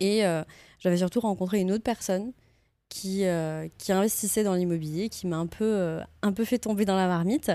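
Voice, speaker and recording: A woman's dark, mellow voice with ordinary pitch variation, dry and close without echo, on a very clean recording with a silent background. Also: medium pitch for a woman, moderate pace. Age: 30s. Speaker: real estate investor and entrepreneur. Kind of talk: casual interview. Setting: office studio.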